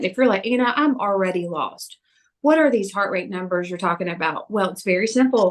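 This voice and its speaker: With an animated tone and lively intonation, a woman speaks in a slight Southern US accent. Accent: slight Southern twang. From US South. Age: 40s. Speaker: personal trainer. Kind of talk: fitness talk. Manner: fast.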